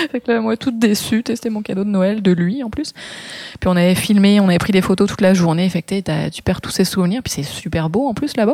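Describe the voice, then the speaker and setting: At a fairly quick pace, a woman speaks in a dark, mellow tone with medium pitch and ordinary pitch variation. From France, Brittany (Morbihan). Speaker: photographer and makeup artist. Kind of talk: interview.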